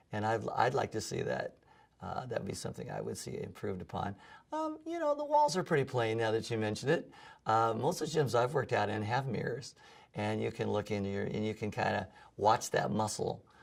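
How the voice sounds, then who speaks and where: A man with an American accent talks at a fairly quick pace. The recording is very clean, with a silent background. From US West Coast, San Diego. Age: 60s. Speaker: music professor and gym client. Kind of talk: testimonial interview. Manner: hesitant, many fillers and repeats.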